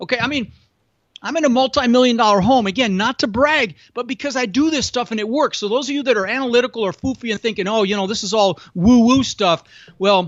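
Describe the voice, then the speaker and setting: An extremely high-pitched man's voice, animated and very fast, with ordinary pitch variation. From immigrated to US as a child from Europe. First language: not English. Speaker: real estate investor and podcast host. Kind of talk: podcast interview.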